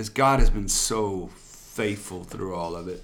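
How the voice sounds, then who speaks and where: A man is heard speaking with audible room echo. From Louisiana. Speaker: pastor. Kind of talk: casual interview.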